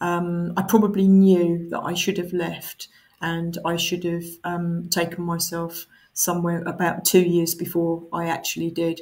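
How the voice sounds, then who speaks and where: A woman talks with a fairly low pitch and an Essex accent. Her voice is somewhat breathy, with monotone, flat intonation. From Essex, England. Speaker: council chief executive. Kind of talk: interview answers. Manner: hesitant with fillers.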